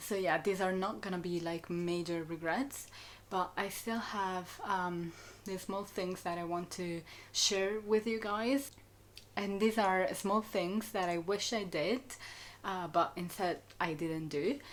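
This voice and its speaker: Speaking at a very slow pace, a woman with an Italian accent talks at medium pitch. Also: ordinary pitch variation. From Italy. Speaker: student vlogger. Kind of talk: casual chat. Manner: hesitant with many fillers.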